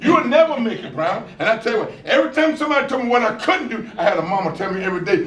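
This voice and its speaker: A man in an American accent at a very fast pace with lively intonation, amid audible room echo and noticeable background noise. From US South, rural South Carolina. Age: 70s. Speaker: motivational speaker. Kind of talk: keynote speech. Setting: school graduation ceremony with audience. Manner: animated.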